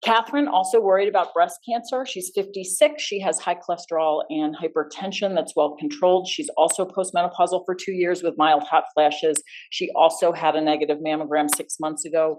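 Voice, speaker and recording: Over a quiet background, a woman with a fairly low pitch and ordinary pitch variation talks at a fairly quick pace, with hardly any pauses. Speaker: physician. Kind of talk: lecture. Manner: fast.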